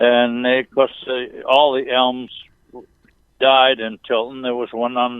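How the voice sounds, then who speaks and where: This man talks at a medium pitch and a very slow pace. His intonation is monotone and flat. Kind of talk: interview answer.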